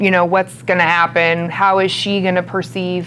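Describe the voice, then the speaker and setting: A woman speaks in a fairly low voice with flat, monotone intonation. Noticeable background noise runs beneath her. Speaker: sales and marketing expert, guest speaker. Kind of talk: interview before a student audience. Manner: loud.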